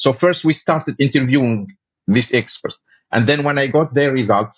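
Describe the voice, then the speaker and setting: A man with an Arabic accent and fairly high pitch, at a moderate pace with very even loudness. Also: ordinary pitch variation. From Tunisia. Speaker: paramedic and researcher. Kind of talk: interview conversation. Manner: halting, frequent fillers and self-corrections.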